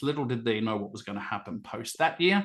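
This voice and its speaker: An enthusiastic man with an Australian accent speaks at a medium pitch with lively intonation. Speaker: event host and communications consultant. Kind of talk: online event facilitation.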